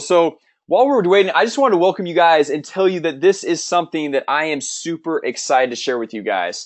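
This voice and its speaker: Speaking at a fairly quick pace, a man uses an animated tone, lively intonation and a fairly high pitch. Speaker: webinar host, marketing trainer. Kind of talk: sales webinar. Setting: online webinar. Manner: fast.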